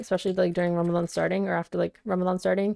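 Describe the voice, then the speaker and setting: The sound is dry and close, with no echo. The speaker talks very fast with a Canadian accent. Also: woman. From Canada. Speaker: streamer. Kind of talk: casual live stream chat.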